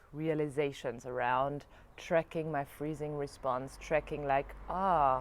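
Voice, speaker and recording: With a German accent, a woman speaks at a very slow pace in a very deep, low pitch. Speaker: yoga and spirituality vlogger. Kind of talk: reflective video diary monologue. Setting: alone in front of camera. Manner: halting, searching for words.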